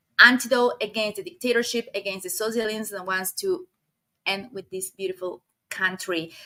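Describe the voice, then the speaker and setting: With a Spanish accent, a woman speaks at a moderate pace in a bright, sharp tone and fairly high pitch, with ordinary pitch variation and big swings in loudness. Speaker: video podcast host. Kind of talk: interview.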